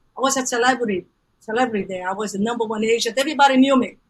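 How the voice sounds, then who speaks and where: This is a woman speaking. She has a Brazilian Portuguese accent. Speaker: business coach. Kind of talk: podcast interview. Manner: animated.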